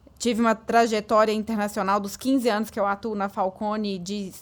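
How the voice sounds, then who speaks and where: The speaker has a strong Minas Gerais accent. The intonation is monotone and flat. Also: woman. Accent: strong Minas Gerais (mineiro). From Brazil, Minas Gerais (Patos de Minas). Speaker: business consultant. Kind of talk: podcast interview.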